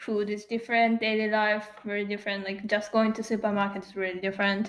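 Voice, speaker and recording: A woman with a Japanese accent speaks at a fairly quick pace and medium pitch. Her intonation is monotone and flat. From Yokohama, Japan. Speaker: podcast host. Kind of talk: casual chat between a couple.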